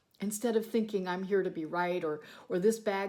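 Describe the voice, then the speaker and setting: This woman has an unremarkable speaking voice at medium pitch. Her pitch varies in an ordinary way. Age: 60s. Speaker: sewing and bagmaking YouTuber. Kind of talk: motivational talk to camera. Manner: conversational with fillers.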